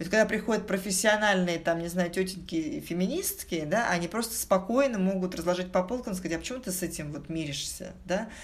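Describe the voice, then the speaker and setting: Audible room echo surrounds a woman talking at a fairly quick pace, her medium pitch showing ordinary variation. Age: 40s. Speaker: corporate executive. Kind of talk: casual interview. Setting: studio.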